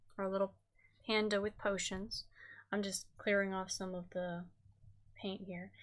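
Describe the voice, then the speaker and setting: A soft-spoken woman is heard on a very clean recording with a silent background. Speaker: craft streamer. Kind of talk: tutorial. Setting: live stream.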